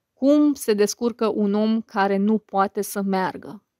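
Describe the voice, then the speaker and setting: Speaking at a fairly slow pace with fairly even intonation, a woman with an unremarkable speaking voice and fairly high pitch is heard in a dry, close sound with no echo, in a very clean recording with a silent background. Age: 30s. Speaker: YouTuber and podcaster. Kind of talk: casual monologue to viewers.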